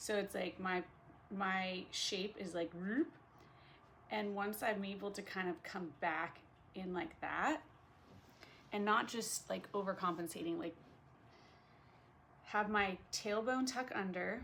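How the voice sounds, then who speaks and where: A woman with a medium-pitched voice talks at a very slow pace, leaving long, frequent pauses, and her pitch varies an ordinary amount. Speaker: vlogger. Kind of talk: casual vlog monologue. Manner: slow with pauses; hesitant, many fillers.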